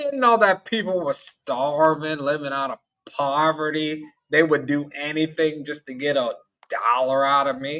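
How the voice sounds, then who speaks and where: This man talks at a fairly slow pace in a Southern US accent, his pitch fairly high. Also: ordinary pitch variation. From US South, Tennessee. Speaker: call-in panelist, traveler. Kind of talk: casual call-in panel discussion.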